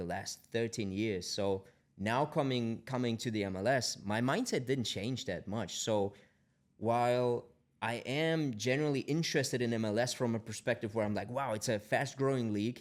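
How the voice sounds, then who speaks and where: On a very clean recording with a silent background, a man with a German accent talks at a moderate pace and medium pitch with ordinary pitch variation. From Germany. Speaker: tech company founder. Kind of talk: podcast interview. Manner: halting, many repetitions.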